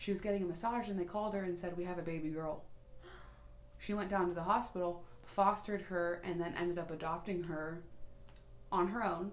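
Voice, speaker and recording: The speech has fairly even intonation and long, frequent pauses over noticeable background noise. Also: woman, fairly low pitch for a woman. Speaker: podcast co-host. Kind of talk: casual chat. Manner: loud; boisterous.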